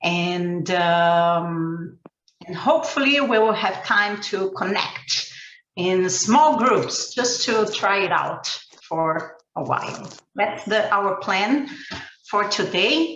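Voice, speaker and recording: A woman speaks very slowly with a Portuguese accent, her medium pitch rising and falling in lively intonation. Audible room echo surrounds her voice. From Brazil. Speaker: ecovillage educator and trainer. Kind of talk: webinar presentation.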